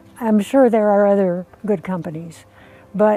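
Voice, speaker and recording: A woman speaks fairly slowly with ordinary pitch variation. Music plays in the background, and the sound is dry and close, with no echo. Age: 80s+. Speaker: solar customer. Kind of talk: customer testimonial interview. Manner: hesitant, conversational.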